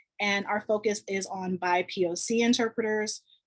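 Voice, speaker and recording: With an American accent, a woman with medium pitch and fairly even intonation speaks in an ordinary speaking voice, the sound dry and close with no echo. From Chicago. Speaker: sign language interpreter. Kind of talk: panel discussion.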